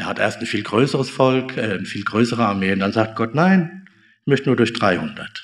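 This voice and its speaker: At a moderate pace, a man talks in a normal speaking voice at medium pitch. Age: 50s. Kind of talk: sermon. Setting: church service, also streamed on Zoom.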